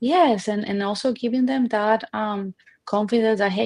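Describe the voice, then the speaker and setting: At a moderate pace, a woman with a Colombian accent speaks at a medium pitch. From Colombia, Barranquilla. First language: Spanish. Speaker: restaurant owner. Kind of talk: interview. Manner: halting.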